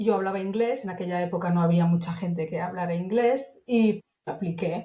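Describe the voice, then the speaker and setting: A woman speaks at a moderate pace in an unremarkable speaking voice, her medium pitch carrying ordinary pitch variation. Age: 60s. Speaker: internal communications professional. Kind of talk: interview. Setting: podcast.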